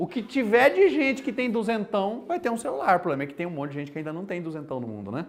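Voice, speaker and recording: Talking at a very fast pace, a man with a Mato Grosso do Sul accent lets his pitch swing very widely. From Brazil, Mato Grosso do Sul. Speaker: university lecturer. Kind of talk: lecture. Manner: casual and animated.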